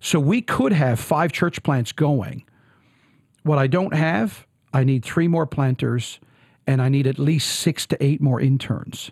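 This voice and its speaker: A man with a Newfoundland accent speaks in an animated, somewhat breathy tone with ordinary pitch variation. The sound is dry and close, with no echo. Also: fairly slow pace, very even loudness. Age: 40s. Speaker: pastor. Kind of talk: interview.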